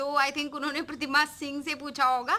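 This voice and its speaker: A woman speaks in a raised, projected voice. Her tone is bright and sharp. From Uttar Pradesh, Raebareli. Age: 20s. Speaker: vlogger. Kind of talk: Q&A vlog answering viewer comments. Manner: casual and chatty, with fillers.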